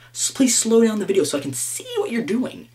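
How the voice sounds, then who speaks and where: There is noticeable background noise behind this man. He talks at a fairly quick pace with very wide pitch swings. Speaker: gaming vlogger. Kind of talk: casual rant to camera. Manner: fast; halting, stammering repeats.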